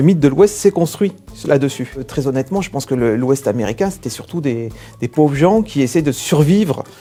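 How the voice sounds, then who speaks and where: Music plays in the background as a man talks at a fairly quick pace. His pitch is fairly high, his intonation lively. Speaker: comic book writer. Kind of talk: casual interview. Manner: talkative.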